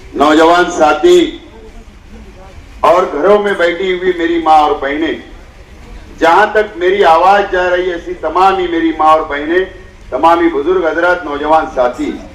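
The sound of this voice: In a room with audible echo, a man talks at a fairly slow pace, his fairly high pitch held in a fairly even intonation.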